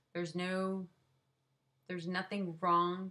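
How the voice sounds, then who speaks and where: A woman with a Southern US accent speaks at a very slow pace and medium pitch. Her tone is bright and sharp, and her intonation is monotone and flat. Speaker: vlogger sharing chronic illness experience. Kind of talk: casual personal vlog. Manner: hesitant, many fillers.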